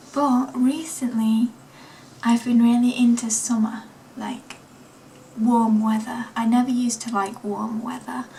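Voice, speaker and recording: A woman with an East Midlands accent speaks at a fairly slow pace in a fairly high, monotone, flat voice, leaving long, frequent pauses over noticeable background noise. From East Midlands of England (Nottingham). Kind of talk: casual vlog chat.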